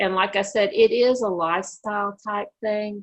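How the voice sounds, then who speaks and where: Here is a woman with an unremarkable speaking voice. She talks at a fairly slow pace with ordinary pitch variation. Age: 60s. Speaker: diabetes educator. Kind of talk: educational Q&A.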